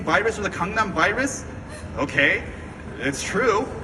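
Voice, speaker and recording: Against noticeable background noise, a man with a high pitch speaks in a raised, projected voice, his tone animated and his pace fairly slow. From US, Korean American. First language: Korean. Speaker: activist, movement founder. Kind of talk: speech to audience.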